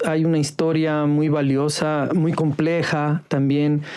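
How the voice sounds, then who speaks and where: Noticeable background noise sits behind a man whose pitch is fairly high. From Ecuador, Carchi province. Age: 40s. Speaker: former newspaper editor. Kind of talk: podcast interview.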